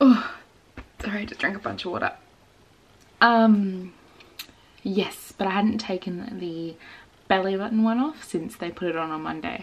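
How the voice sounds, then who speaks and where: Quiet overall, a woman with an Australian accent speaks at a moderate pace and medium pitch with ordinary pitch variation, big swings in loudness and long, frequent pauses. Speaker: vlogger. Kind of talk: casual vlog.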